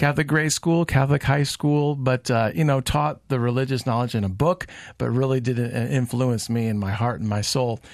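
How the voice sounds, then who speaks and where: This man talks in a normal speaking voice at medium pitch and a moderate pace, with ordinary pitch variation and hardly any pauses. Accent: American. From Colorado. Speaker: podcaster. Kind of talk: radio interview. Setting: studio.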